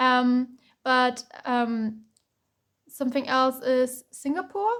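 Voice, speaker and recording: With a German accent, a high-pitched woman speaks very slowly, her pitch varying in an ordinary way. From Germany. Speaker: tarot reader. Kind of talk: tarot reading. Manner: halting, many fillers.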